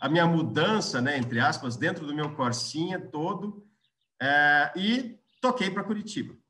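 At a fairly slow pace, a man speaks in a high voice with lively intonation. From Brazil, Londrina (Paraná). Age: 40s. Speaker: business executive. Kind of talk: interview, career storytelling. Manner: halting, frequent restarts.

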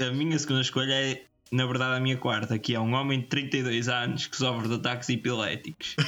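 A man speaks at a very fast pace in a medium pitch and a flat monotone, with music playing behind him. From Portugal. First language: Portuguese. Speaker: podcast co-host. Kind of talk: casual chat. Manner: halting.

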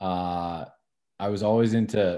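With an American accent and a dark, mellow tone, a man speaks at a fairly low pitch with ordinary pitch variation against a quiet background. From Northern New Jersey. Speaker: college athletics compliance administrator. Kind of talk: interview. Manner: halting, many fillers and repetitions.

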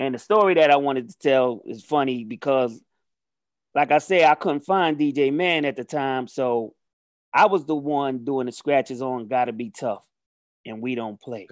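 A man with an unremarkable speaking voice talks at a moderate pace in a medium pitch with ordinary pitch variation and big swings in loudness. The background is quiet, and the sound is dry and close with no echo. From New York City, the Bronx. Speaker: rapper. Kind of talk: casual chat.

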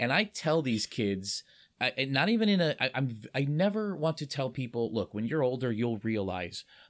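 A man's medium pitch with very wide pitch swings at a moderate pace, on a very clean recording with a silent background. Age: 40s. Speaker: podcast host. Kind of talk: casual chat. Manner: halting, repeats words.

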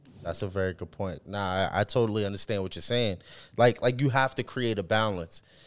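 A man with an American accent speaks in a plain, everyday voice at a fairly low pitch and a fairly quick pace, with ordinary pitch variation, on a very clean recording with a silent background. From Boston. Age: 30s. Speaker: podcast co-host. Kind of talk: casual chat.

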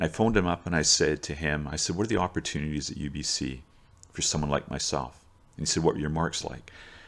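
A man with a very deep, low pitch, vocal fry and a Canadian accent, speaking at a very fast pace. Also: ordinary pitch variation, very clean recording, silent background. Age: 60s. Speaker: teacher and coach. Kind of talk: storytelling monologue. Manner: casual, with frequent fillers and repetitions.

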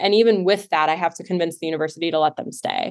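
Speaking at a fairly quick pace, a woman with an unremarkable speaking voice keeps her intonation fairly even. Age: 30s. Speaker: life coach and nonprofit founder. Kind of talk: interview.

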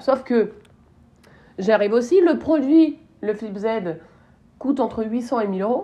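Against a quiet background, a woman speaks at a fairly slow pace. Her fairly high voice shows ordinary pitch variation. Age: 30s. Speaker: marketing podcast host. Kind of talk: solo podcast commentary. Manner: casual, hesitant with fillers.

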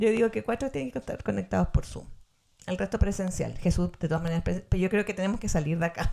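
In a Chilean accent, a woman speaks at a very fast pace with a medium pitch. Her tone is dark and mellow, with vocal fry. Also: lively intonation. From Chile, Valparaíso. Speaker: podcast co-host. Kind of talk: casual chat.

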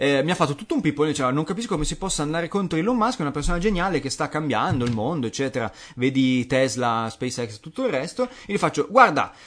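A man's animated, very fast delivery, fairly high in pitch with very wide pitch swings. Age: 30s. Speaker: podcast co-host. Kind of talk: casual chat.

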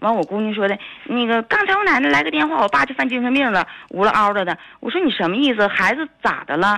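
Her pitch fairly high and swinging very widely, a woman talks at a very fast pace. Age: 40s. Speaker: caller. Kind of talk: phone-in call. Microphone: too quiet.

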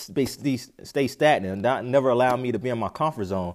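An American-accented man speaks fairly quickly with lively intonation in an ordinary speaking voice, on a very clean recording with a silent background. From North Carolina, US South. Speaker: podcast host and preacher. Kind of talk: sermon.

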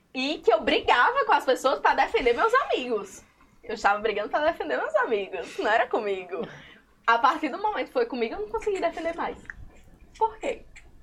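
Noticeable background noise surrounds a woman's high-pitched voice. She talks at a fairly quick pace with very wide pitch swings. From Currais Novos, Seridó, Rio Grande do Norte, Brazil. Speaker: illustrator and comic artist. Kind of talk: casual chat.

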